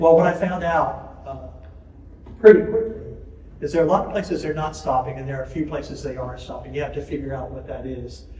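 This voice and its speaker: Talking at a very fast pace, a man with a fairly high pitch uses ordinary pitch variation and big swings in loudness, with audible room echo and noticeable background noise. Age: 70s. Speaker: ornithologist. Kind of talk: lecture. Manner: casual, hesitant with fillers.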